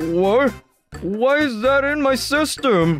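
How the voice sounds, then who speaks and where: Faint music sits in the background of a dry recording that has no echo. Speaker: comic dub voice actor, narrator. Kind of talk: dramatic narration and character dialogue. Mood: worried, unwell.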